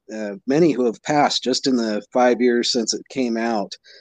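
The clip features a normal speaking voice. Intonation remains fairly even. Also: man. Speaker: podcast host. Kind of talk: casual interview chat.

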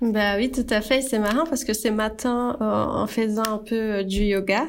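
A woman speaks at a fairly slow pace with a fairly high pitch and fairly even intonation. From Brazil. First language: Portuguese (speaking French). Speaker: graphic designer and brand founder. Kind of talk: casual chat. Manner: halting.

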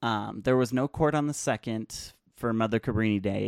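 Very clean and silent in the background, with a dry, close sound and no echo, the recording captures a man's unremarkable speaking voice at a fairly low pitch, moving at a fairly quick pace with ordinary pitch variation. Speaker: podcast host. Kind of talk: solo podcast commentary. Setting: small closet home studio. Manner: casual, many filler words. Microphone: new USB mic on boom arm, clearer than before.

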